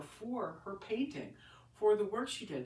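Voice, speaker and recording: Her voice swings very widely in pitch around a medium level. A woman sounds somewhat breathy here, with audible room echo. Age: 60s. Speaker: painter. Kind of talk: casual vlog monologue. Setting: home, recording on iPad. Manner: halting, many restarts.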